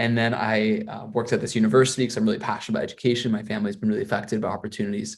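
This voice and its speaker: A man is speaking. He has an American accent. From US Midwest, Missouri. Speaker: PhD student, data scientist. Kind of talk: webinar talk. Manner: hesitant, many fillers and repeats.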